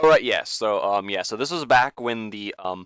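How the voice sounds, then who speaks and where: A man's voice, fairly low in pitch. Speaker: gaming YouTuber. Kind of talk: casual reaction commentary. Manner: halting, stuttering with many fillers.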